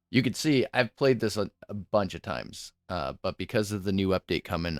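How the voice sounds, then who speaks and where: Over music in the background, a man with a very deep, low voice talks at a moderate pace with lively intonation, the sound dry and close with no echo. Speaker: video game streamer. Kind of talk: live gameplay stream chat. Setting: home streaming setup with headset. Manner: loud; casual, halting at times.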